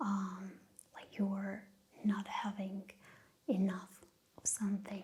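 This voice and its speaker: Soft-spoken and with a non-native accent, this speaker talks at a fairly slow pace. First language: not English. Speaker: ASMR creator. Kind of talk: soft-spoken ASMR talk. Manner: halting.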